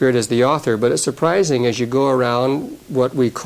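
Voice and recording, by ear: This is reading aloud in a natural voice with fairly even intonation.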